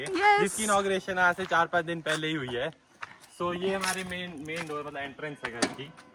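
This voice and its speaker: High-pitched male voice with ordinary pitch variation and noticeable background noise. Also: moderate pace, hardly any pauses. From Himachal Pradesh, India. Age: young. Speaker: travel vlogger. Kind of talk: casual house tour vlog.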